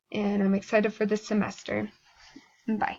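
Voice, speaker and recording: A woman's fairly high voice moves along at a moderate pace. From US, moved around (Midwest and West). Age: 20s. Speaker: university student. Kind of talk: class self-introduction video.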